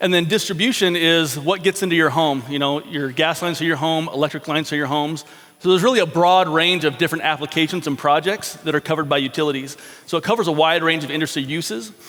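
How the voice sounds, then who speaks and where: Speaking at a very fast pace, the man shows ordinary pitch variation while noticeable background noise plays behind him. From Alaska, Anchorage. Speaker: engineering consultant. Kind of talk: conference presentation.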